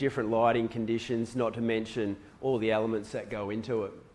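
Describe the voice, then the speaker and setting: An Australian-accented man speaks at a moderate pace in a medium pitch with monotone, flat intonation. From Western Australia. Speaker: surf photographer. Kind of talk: presentation to a live audience. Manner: casual.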